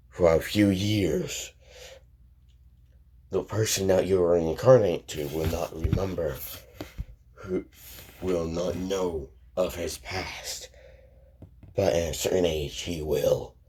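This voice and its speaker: A man puts on a raspy character voice with a very deep, low pitch, speaking at a fairly slow pace with long, frequent pauses. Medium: read story. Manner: slow, solemn, ponderous.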